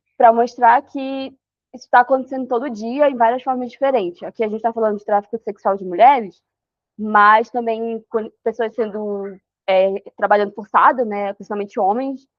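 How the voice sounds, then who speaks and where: Her fairly high voice moves at a moderate pace, the woman's intonation fairly even while her loudness swings widely. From Amapá, northern Brazil. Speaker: researcher on human trafficking. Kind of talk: online talk / presentation. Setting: video call. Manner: halting, many fillers.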